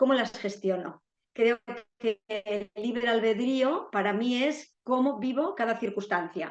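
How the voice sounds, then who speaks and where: Very slowly, a woman speaks at a fairly high pitch, the sound dry and close with no echo. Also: ordinary pitch variation. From Spain, Basque Country (San Sebastián). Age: 60s. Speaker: retired therapist sharing a grief story. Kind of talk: interview testimony.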